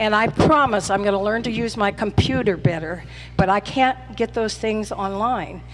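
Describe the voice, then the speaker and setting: A woman's medium-pitched voice with an American accent, over noticeable background noise. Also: ordinary pitch variation, moderate pace. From Vallejo, California. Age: 60s. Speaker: community meeting speaker, laid-off teacher. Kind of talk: public comment at community meeting.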